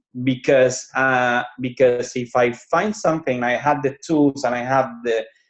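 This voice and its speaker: A man at a medium pitch, fairly slow pace and ordinary pitch variation. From Cuba. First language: Spanish. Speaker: business owner. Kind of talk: interview. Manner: halting.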